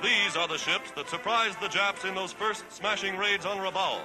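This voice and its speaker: A high-pitched man with an American accent, music in the background. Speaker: newsreel narrator. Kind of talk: 1940s wartime newsreel narration.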